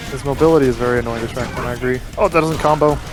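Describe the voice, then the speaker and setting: Music plays in the background. Over it, a man speaks in an animated tone. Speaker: fighting game commentator. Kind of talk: live commentary. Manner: fast.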